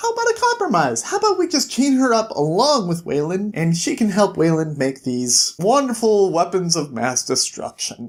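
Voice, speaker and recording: In a put-on character voice of middle pitch, the speaker goes at a moderate pace. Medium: solo performance.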